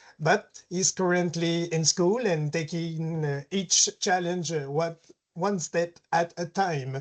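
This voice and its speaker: The speaker talks at a very slow pace in a Quebec accent. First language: French. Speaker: caregiver. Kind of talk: webinar presentation.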